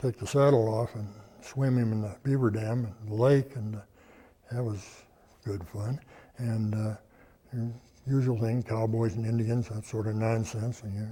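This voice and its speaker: Somewhat breathy, a man with an American accent speaks at a moderate pace with long, frequent pauses. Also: medium pitch for a man, fairly even intonation. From Colorado, USA. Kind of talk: oral history interview answer. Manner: hesitant, halting.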